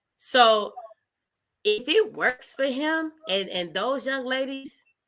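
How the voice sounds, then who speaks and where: A woman's high pitch with very wide pitch swings at a very slow pace. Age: 30s. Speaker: podcast guest. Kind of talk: casual chat. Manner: animated.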